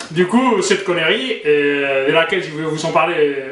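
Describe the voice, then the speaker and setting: A man with a fairly high pitch speaks very slowly amid noticeable background noise and audible room echo. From Spain. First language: Spanish (speaking French). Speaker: YouTuber, commentator. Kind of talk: casual vlog commentary. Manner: hesitant, many fillers.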